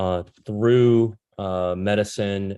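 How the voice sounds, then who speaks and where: The background is quiet. A man speaks in a dark, mellow tone. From US East (New Jersey, Northern Virginia); early childhood Korea and France. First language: Korean. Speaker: critical care physician, retired army officer. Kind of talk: presentation talk. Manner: hesitant, many fillers.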